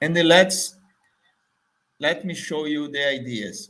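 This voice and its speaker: A man talks at a very slow pace. He speaks in a Portuguese accent. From Brazil, Salvador, Bahia. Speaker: marketing trainer. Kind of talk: business pitch video. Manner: halting, many fillers.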